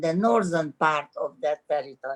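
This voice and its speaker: A woman with a Hungarian accent speaks at a fairly slow pace. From Romania, Transylvania (Cluj). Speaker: Holocaust survivor. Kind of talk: interview. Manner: halting, many fillers.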